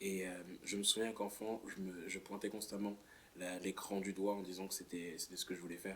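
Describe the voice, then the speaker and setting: Monotone and flat, a man's very deep, low voice moves at a moderate pace. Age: 20s. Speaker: artist. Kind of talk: interview. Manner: halting.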